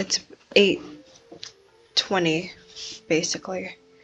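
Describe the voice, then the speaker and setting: A woman speaks over noticeable background noise. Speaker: gaming streamer. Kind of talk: gameplay commentary. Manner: quiet; halting.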